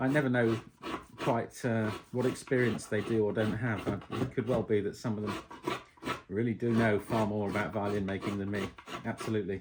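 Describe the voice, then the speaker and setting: Over noticeable background noise, a voice with an English accent moves at a fairly quick pace in a relaxed tone with fairly even intonation, broken by long, frequent pauses. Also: man, fairly low pitch for a man. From England. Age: 50s. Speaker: violin maker. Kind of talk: casual chat while working. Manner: relaxed, hesitant with many ums.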